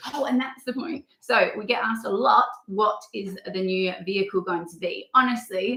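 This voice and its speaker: A woman in an Australian accent at a moderate pace, with big swings in loudness. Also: fairly high pitch for a woman, ordinary pitch variation. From rural Australia. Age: 30s. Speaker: travel vlogger. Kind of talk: casual chat. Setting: livestream.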